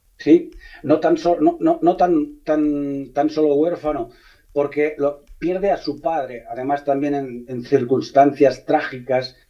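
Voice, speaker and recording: Fairly slow delivery with fairly even intonation and music in the background. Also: man. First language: Catalan (speaking Spanish). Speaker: novelist, former police officer. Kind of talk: radio interview. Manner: halting, frequent repetitions.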